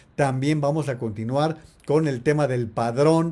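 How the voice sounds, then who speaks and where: A man with a dark, mellow tone, a fairly high pitch, fairly even intonation and a fairly slow pace. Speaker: political analyst and commentator. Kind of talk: live-stream commentary. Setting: live stream on social media.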